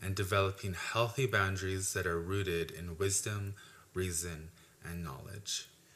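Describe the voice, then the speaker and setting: In a normal speaking voice, a man talks at a fairly slow pace and a fairly low pitch on a very clean recording with a silent background. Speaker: university graduate. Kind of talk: testimony.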